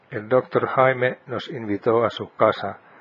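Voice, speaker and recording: Someone speaks at a fairly slow pace with a Finnish accent. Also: man. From Finland. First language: Finnish (speaking Spanish). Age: 70s. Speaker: podcast host. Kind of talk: scripted narration.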